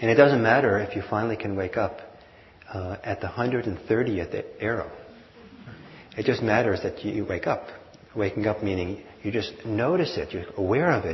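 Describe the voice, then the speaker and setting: A man's fairly low voice at a moderate pace with ordinary pitch variation, long and frequent pauses, and noticeable background noise. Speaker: meditation teacher. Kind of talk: guided meditation. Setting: live class with audience, mic and hearing system.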